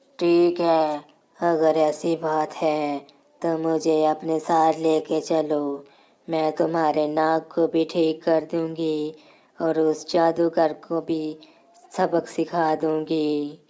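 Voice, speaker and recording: A woman performs a cartoonish character voice, very deep and low in pitch. She speaks very slowly, with monotone, flat intonation. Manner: commanding, threatening.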